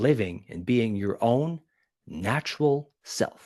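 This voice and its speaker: Animated in tone, a man speaks at a medium pitch with very wide pitch swings. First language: not English. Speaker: public speaking coach. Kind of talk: podcast interview.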